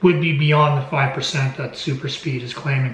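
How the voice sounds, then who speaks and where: Fairly quick speech from a man with a fairly high pitch, audible room echo and noticeable background noise. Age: 60s. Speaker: amateur golfer vlogger. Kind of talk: casual video diary.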